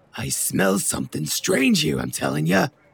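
In a put-on character voice, a man speaks with a very deep, low pitch and a raspy sound at a moderate pace. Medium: audio drama. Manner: brash, mouthy.

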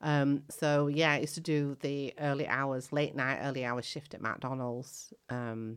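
Here a woman talks. She keeps her intonation fairly even. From Leeds, Yorkshire, England (arrived from East Africa aged seven). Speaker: arts organisation artistic director. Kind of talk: interview. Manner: hesitant, with many fillers.

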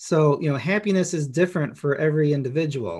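A normal speaking voice, a man's at a fairly high pitch, moves at a fairly quick pace with ordinary pitch variation on a very clean recording with a silent background. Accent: American. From Chicago, US Midwest. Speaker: author. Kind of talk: casual podcast interview.

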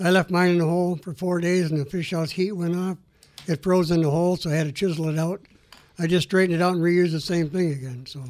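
A man with a high-pitched voice talks very fast in a fairly even intonation. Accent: American. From US Midwest. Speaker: inventor. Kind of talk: interview.

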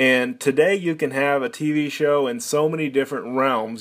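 With an American accent, a man speaks in a normal speaking voice at a fairly high pitch, using ordinary pitch variation at a moderate pace. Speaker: podcast host. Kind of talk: podcast intro monologue.

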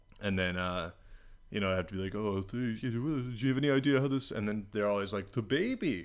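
This man has a normal speaking voice at a fairly low pitch. His pitch varies in an ordinary way. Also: fairly quick pace. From Washington DC (northwest). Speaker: podcast co-host. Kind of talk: casual comedic chat.

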